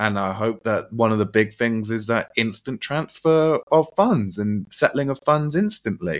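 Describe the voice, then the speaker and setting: With a British accent, a man speaks with ordinary pitch variation. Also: very clean recording, silent background. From UK. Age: 30s. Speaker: crypto entrepreneur. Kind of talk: podcast interview.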